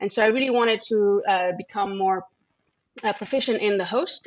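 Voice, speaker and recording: A woman with a French accent talks fairly quickly at a medium pitch, her intonation fairly even. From France. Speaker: microbiology researcher and lab head. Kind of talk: interview conversation.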